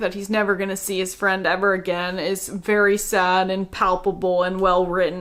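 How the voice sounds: At a moderate pace, a woman speaks with medium pitch, a fairly bright tone and fairly even intonation.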